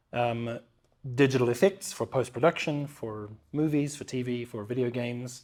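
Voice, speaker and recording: A man speaks with a New Zealand accent and ordinary pitch variation. The recording is very clean, with a silent background. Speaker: motion capture performer and actor. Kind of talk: interview conversation. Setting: studio, in person.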